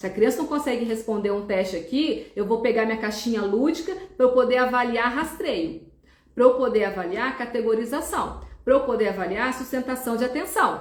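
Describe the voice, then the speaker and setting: Room echo is audible as a woman talks at a moderate pace in a high voice with lively intonation. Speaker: neuropsychologist. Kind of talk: live stream talk.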